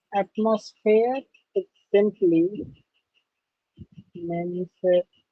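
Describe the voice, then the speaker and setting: Very slow speech comes in a non-native accent. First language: not English. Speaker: teacher. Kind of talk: lecture. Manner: halting.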